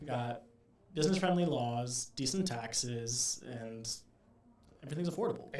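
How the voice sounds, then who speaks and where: With audible room echo, a man talks at a moderate pace and medium pitch, using ordinary pitch variation and long, frequent pauses. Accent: American. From Indiana (Zionsville). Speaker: real estate investor. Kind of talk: casual interview chat.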